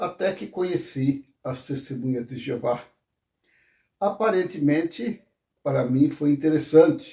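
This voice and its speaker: Speaking fairly slowly with long, frequent pauses, a man with a fairly high pitch and a dark, mellow, somewhat breathy tone varies his loudness widely. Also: ordinary pitch variation. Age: 70s. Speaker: former Jehovah's Witness. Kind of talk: testimony. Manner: hesitant, with fillers.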